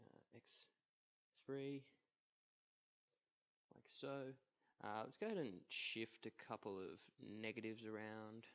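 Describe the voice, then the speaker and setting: A man at a very slow pace, with long, frequent pauses, big swings in loudness, and fairly even intonation. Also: medium pitch for a man. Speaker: physics student. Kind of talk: math tutorial narration. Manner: hesitant, many filler words.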